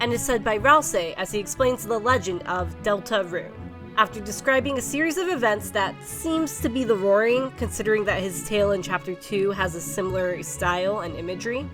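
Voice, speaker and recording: Over music in the background, a woman at medium pitch talks at a fairly quick pace with hardly any pauses and very wide pitch swings. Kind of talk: video essay narration.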